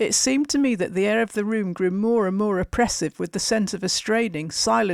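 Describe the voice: Ordinary pitch variation in plain reading aloud.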